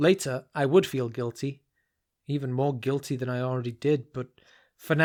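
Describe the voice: Plain reading aloud with fairly even intonation against a quiet background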